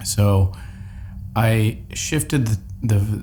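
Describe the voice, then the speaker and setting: A man is speaking. Music plays in the background. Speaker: personal development vlogger. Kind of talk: personal vlog monologue.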